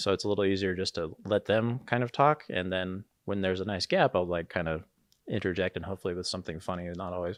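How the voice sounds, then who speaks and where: Mumbling at a very fast pace, a man speaks with a very deep, low pitch against a quiet background. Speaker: live sports video director. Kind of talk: casual chat. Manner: tends to mumble; hesitant, many fillers.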